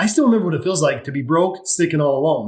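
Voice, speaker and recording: An ordinary speaking voice, a man at a fairly high pitch with an American accent and ordinary pitch variation. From Utah, US. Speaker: mindset coach and financial planner. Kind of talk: podcast interview.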